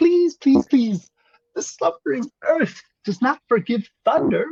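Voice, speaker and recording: Soft-spoken and high-pitched, the put-on character voice moves at a fairly slow pace. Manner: pleading.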